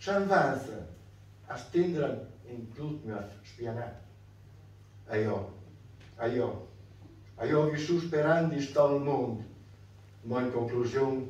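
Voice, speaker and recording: A man with a medium-pitched voice and ordinary pitch variation speaks at a very slow pace, with audible echo in the room. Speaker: dialect poet. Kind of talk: dialect poetry reading. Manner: serious. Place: hall. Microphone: camera far.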